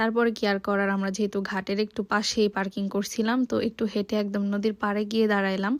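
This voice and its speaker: In a very clean recording with a silent background, a woman's voice comes through. She keeps a medium pitch and a monotone, flat intonation. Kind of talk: travel vlog voice-over. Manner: casual, conversational.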